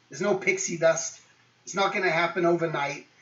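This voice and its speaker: A man's fairly high-pitched voice at a fairly quick pace, with noticeable background noise. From England. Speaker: guest speaker. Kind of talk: motivational talk to students. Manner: casual, many fillers.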